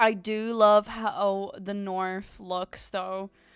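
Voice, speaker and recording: Her medium-pitched voice stays monotone and flat, and the woman is heard on a very clean recording with a silent background. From Ukraine. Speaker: VTuber artist streamer. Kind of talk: casual live stream chat. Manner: casual, chatty.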